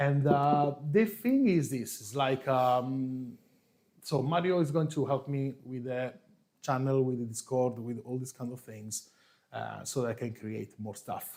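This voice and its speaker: Speaking very slowly, a man with an Italian accent uses a medium pitch and a dark, mellow tone. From Italy, Marche region. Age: 40s. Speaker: coffee youtuber, former barista. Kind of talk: live stream chat. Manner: relaxed.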